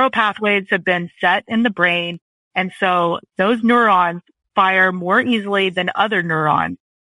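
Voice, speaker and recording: An unremarkable speaking voice, from a woman at medium pitch, with ordinary pitch variation and a fairly slow pace. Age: 40s. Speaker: copywriter. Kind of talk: casual chat.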